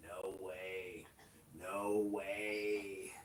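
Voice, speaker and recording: A man puts on a nasal character voice, fairly low in pitch and flat in intonation, over clear background noise. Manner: obnoxious, brusque.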